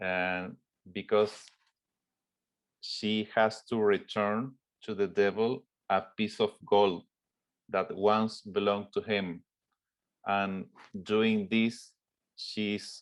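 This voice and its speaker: A man with a Spanish accent speaks in a fairly low pitch at a very slow pace, with monotone, flat intonation and long, frequent pauses. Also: quiet background. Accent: Spanish-accented English, rough. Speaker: film director. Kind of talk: interview Q&A. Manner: halting, many fillers.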